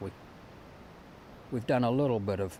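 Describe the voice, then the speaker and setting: A man is speaking. He has a New Zealand accent. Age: 70s. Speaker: retired farmer. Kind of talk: interview.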